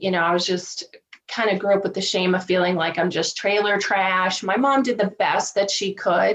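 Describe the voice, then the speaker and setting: A woman delivers her words at a medium pitch, keeping her intonation fairly even. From US South, Virginia. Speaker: divorce coach. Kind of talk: podcast interview.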